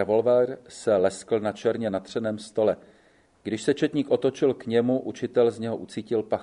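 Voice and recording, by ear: The intonation stays fairly even while the speaker is reading aloud in a natural voice.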